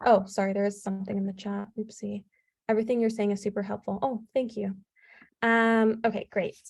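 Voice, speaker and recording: Somewhat breathy, a woman talks at a fairly quick pace with monotone, flat intonation. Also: medium pitch for a woman. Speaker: medical student giving interview advice. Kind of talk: webinar presentation.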